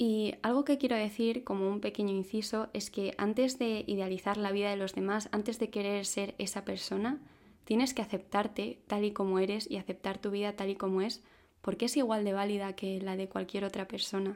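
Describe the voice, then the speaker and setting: In a normal speaking voice, a woman talks at a moderate pace and medium pitch with fairly even intonation on a very clean recording with a silent background. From Spain (Madrid). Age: 20s. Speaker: podcaster. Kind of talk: personal reflective monologue.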